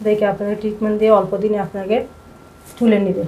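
The woman's voice is fairly high in pitch. Light background noise can be heard. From Chittagong, Bangladesh; Bangladesh. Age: 20s. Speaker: patient, housewife. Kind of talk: patient testimony. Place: office. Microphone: camera far.

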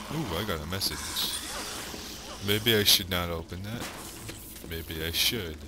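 Speaking in a very deep, low voice with ordinary pitch variation, a man leaves long, frequent pauses over noticeable background noise and audible room echo. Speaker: gaming video creator. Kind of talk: let's play commentary. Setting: home recording in the dark. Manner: animated; louder than usual. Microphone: new mic setup, maybe less breathing.

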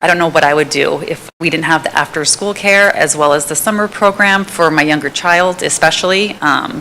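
Talking at a fairly quick pace with hardly any pauses, a woman with an American accent has a bright, sharp tone, a fairly low pitch and ordinary pitch variation. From South San Francisco, California. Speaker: public commenter, parent. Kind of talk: public comment at meeting. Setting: council chambers meeting.

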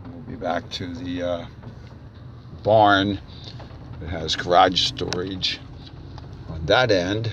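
Over light background noise in a dry sound with no echo, a man talks very slowly at a very deep, low pitch, with long, frequent pauses. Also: ordinary pitch variation, big swings in loudness. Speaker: auctioneer. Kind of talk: real estate property tour narration. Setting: outdoors, narrating while driving. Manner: slow, hesitant, with frequent filler words. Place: car. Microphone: phone near.

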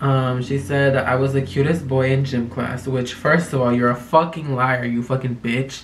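With light background noise, a man of medium pitch talks in a monotone, flat intonation with hardly any pauses. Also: moderate pace. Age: 20s. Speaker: youtuber. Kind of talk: casual vlog talk to camera. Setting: home recording, talking to camera. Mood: sassy, joking, dramatic. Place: home room.

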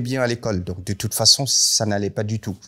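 A man with a plain, everyday voice speaks at a moderate pace with fairly low pitch and ordinary pitch variation against a quiet background. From northern Cameroon. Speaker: contemporary artist and designer; guest. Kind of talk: panel talk. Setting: library event with audience. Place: hall.

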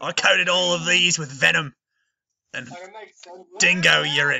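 Someone puts on a raspy character voice with an Australian accent. The pace is moderate. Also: man, fairly high pitch for a man.

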